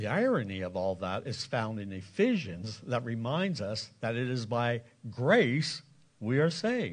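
A normal speaking voice at a fairly slow pace, lively intonation, and a quiet background. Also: man, medium pitch for a man. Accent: American. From Lancaster County, Pennsylvania. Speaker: pastor. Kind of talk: sermon. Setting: church.

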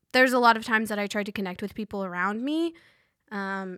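A woman speaks in a plain, everyday voice, fairly high-pitched, with ordinary pitch variation, on a very clean recording against a silent background. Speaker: college student and resident assistant. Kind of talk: casual interview.

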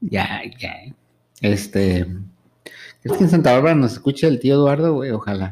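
Long, frequent pauses break up a man's lively intonation as he speaks at a medium pitch and a moderate pace. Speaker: podcast co-host. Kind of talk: casual chat. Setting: studio.

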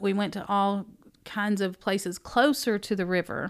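In a Southern US accent, the speaker goes at a very slow pace with fairly even intonation on a very clean recording with a silent background. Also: woman. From Tennessee. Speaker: bookstore owner and former teacher. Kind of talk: casual interview. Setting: conference room.

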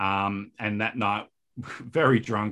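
With an Australian accent, a man with a fairly low pitch speaks with ordinary pitch variation on a very clean recording with a silent background. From Australia, Perth. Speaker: filmmaker. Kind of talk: interview. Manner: halting, many fillers.

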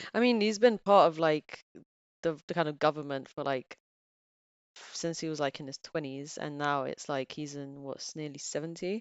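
Speaking in a Bulgarian accent, a woman has a very deep, low pitch. Her pace is moderate. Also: ordinary pitch variation. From Bulgaria, raised partly in England. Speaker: office worker with physics background, podcast guest. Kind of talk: casual chat.

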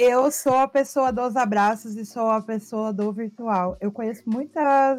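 Speaking at a fairly slow pace with hardly any pauses, a woman uses a normal speaking voice with a fairly high pitch and fairly even intonation. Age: 30s. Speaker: streamer and content creator hosting a talk show. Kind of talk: casual chat.

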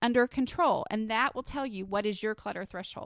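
A woman speaks at a fairly high pitch with ordinary pitch variation. The very clean recording has a silent background and a dry, close sound with no echo. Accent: slight Texas. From Texas. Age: 30s. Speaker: podcast host and blogger. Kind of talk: solo podcast monologue. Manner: casual, with many filler words.

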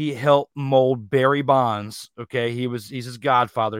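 A man with a normal speaking voice talks at a moderate pace and medium pitch, keeping a fairly even intonation. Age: 30s. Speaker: sports debate show host. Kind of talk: live sports debate show. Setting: live online stream.

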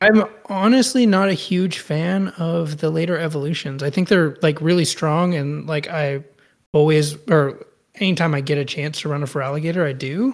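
Here is an unremarkable speaking voice from a man, fairly high in pitch and with an American accent. He talks at a moderate pace with ordinary pitch variation. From Austin, Texas. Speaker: podcast co-host, anime fan. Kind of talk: casual chat.

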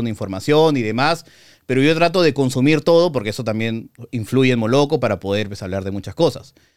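A normal speaking voice from a man, medium in pitch with lively intonation, on a very clean recording with a silent background. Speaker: film critic and YouTuber. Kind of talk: casual interview.

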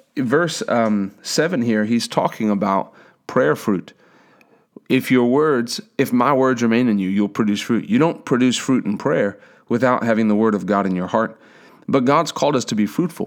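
A normal speaking voice comes through at a moderate pace on a very clean recording with a silent background. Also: man, medium pitch for a man, ordinary pitch variation. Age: 30s. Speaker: preacher. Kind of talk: sermon.

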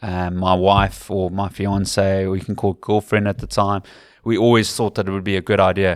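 A man's fairly low voice in a Cape Town accent at a fairly quick pace, in a very clean recording with a silent background. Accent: English-speaking South African, Cape Town. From South Africa, Western Cape. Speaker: rugby commentator. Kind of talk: casual interview. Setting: in person at a rugby club.

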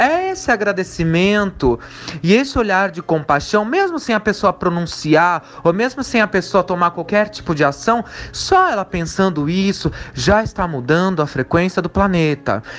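Noticeable background noise sits behind a man speaking at a moderate pace with a high pitch and lively intonation. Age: 30s. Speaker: spiritualist. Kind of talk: recorded testimony.

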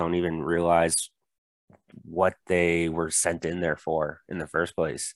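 In a very clean recording with a silent background and a dry, close sound with no echo, a man speaks with an American accent. His very deep, low voice keeps a fairly slow pace. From US Florida. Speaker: staff accountant, guest. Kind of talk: casual discussion.

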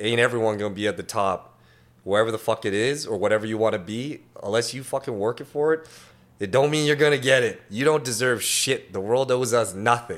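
A man with a medium-pitched, unremarkable speaking voice. He talks at a fairly quick pace with ordinary pitch variation. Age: 30s. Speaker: tattoo artist. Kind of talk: casual chat.

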